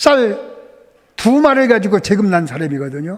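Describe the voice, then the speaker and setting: His pitch is high for a man and swings very widely. This male speaker keeps a moderate pace. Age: 80s+. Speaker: church elder. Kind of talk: testimony.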